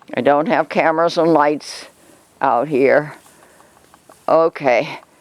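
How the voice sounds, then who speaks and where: Over noticeable background noise, someone speaks at a very slow pace with fairly even intonation. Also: woman, very deep, low pitch for a woman. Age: 80s+. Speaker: alpaca keeper and video host. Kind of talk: casual narrated vlog. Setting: outdoors.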